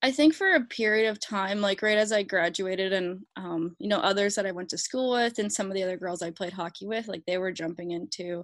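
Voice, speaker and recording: A woman talks at a fairly quick pace. She has a slight Canadian accent. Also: quiet background. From Alberta, Canada. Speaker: pro hockey goalie. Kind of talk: casual interview.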